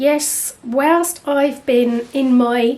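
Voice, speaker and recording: Over noticeable background noise, a woman with an English accent speaks at a high pitch with fairly even intonation. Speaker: artist and channel host. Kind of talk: casual vlog chat.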